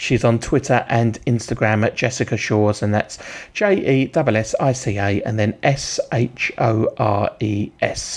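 A man speaks at a fairly slow pace and medium pitch, in an ordinary speaking voice. His intonation stays fairly even. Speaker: radio presenter. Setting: radio studio. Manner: brisk, friendly, informal, with filler 'uh' and plugs for artists; clear, measured, spelling out web addresses.

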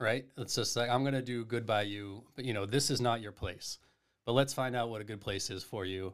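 This man has an unremarkable speaking voice at medium pitch. His intonation stays fairly even. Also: fairly quick pace. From Massachusetts (Duxbury, South Shore). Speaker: head golf professional. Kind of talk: casual chat.

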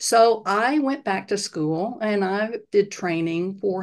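Against a quiet background, a woman with an unremarkable speaking voice talks at a medium pitch with ordinary pitch variation. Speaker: health coach and retired psychiatrist. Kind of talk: casual interview.

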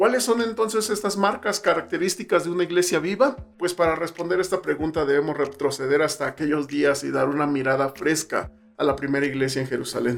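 Lively intonation marks this man's speech, which sits at a fairly high pitch. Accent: Mexico City. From Mexico City. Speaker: pastor and missionary podcaster. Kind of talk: solo podcast talk on missions.

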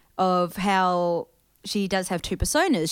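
A woman with a New Zealand accent, very cleanly recorded against a silent background. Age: 20s. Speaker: podcast co-host. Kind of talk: casual chat.

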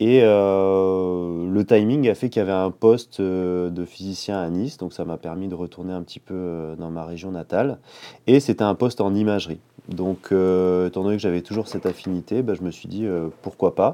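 A man talks in a very deep, low pitch with a dark, mellow tone and fairly even intonation. His loudness swings widely against a quiet background. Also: moderate pace. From southeastern France, Menton. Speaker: medical physicist. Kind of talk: casual chat. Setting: shared office.

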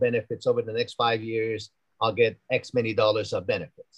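The voice belongs to a man and sits at a medium pitch. It sounds somewhat breathy. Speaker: university dean. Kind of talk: interview conversation.

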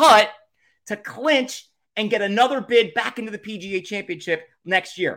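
A man with a Philadelphia accent, animated in tone, bright and sharp, with ordinary pitch variation and a moderate pace. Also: very clean recording, silent background. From Philadelphia area / South Jersey shore. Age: 40s. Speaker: podcast host. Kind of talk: casual solo monologue.

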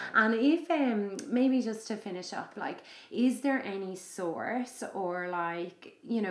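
A woman with an Irish accent and lively intonation. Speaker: podcast host and yoga teacher. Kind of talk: casual chat. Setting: guest's home.

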